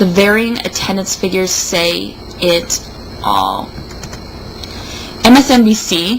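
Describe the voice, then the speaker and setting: A woman talks at a very slow pace with long, frequent pauses over noticeable background noise. Her medium-pitched voice shows ordinary pitch variation. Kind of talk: comedic dramatic reading of an opinion piece.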